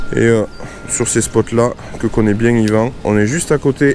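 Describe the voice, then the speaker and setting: Noticeable background noise is present. Beneath it, a man speaks at a fairly slow pace. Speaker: fishing YouTuber. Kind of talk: casual vlog narration. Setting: outdoors on a boat on a lake.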